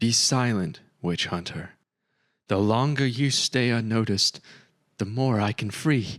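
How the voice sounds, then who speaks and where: A man's shaky put-on character voice at medium pitch and a fairly slow pace, in a very clean recording with a silent background. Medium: read story. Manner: hesitant, strained.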